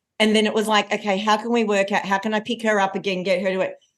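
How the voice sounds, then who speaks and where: Against a quiet background, a woman with a fairly high pitch speaks at a very fast pace in an animated tone. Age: 40s. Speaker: confidence coach and keynote speaker. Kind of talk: podcast interview.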